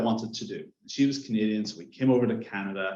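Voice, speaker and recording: A man talks at a fairly quick pace with an Irish accent. There is audible room echo. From Ireland. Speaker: science and strategy consultant. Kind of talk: panel discussion.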